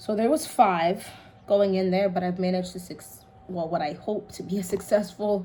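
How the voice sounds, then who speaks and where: With audible room echo, a woman speaks in fairly even intonation while her loudness swings widely. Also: medium pitch for a woman, moderate pace. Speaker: home gardening vlogger. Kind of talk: casual tutorial while working. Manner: quiet, focused.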